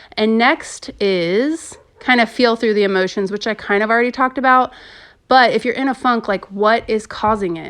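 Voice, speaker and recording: A woman has a normal speaking voice, pitched fairly high. She keeps a moderate pace with ordinary pitch variation. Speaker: podcast host. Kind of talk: casual monologue podcast.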